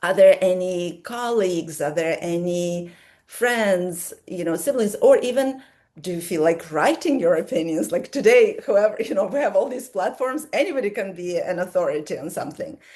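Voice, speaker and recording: With an American accent, a woman at medium pitch speaks in a dark, mellow tone with lively intonation at a moderate pace. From Soviet Union, then US from teens. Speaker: relationship coach. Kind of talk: live coaching Q&A.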